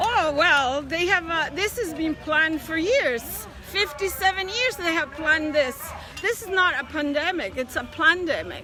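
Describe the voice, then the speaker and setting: A woman's raised, projected voice at an extremely high pitch, with lively intonation and a fairly slow pace, over crowd noise in the background. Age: 70s. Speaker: protester. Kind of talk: street interview. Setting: outdoors at street march. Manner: impassioned.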